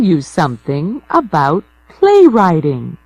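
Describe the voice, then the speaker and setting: A woman with an American accent at a very slow pace, her pitch swinging very widely over music in the background. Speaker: audiobook narrator. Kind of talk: audiobook reading. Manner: slow, clear.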